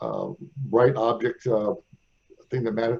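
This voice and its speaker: A man with an American accent speaks at a fairly quick pace in a medium pitch, his tone dark and mellow and somewhat breathy. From US Midwest, St. Louis. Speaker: radio host. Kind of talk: interview.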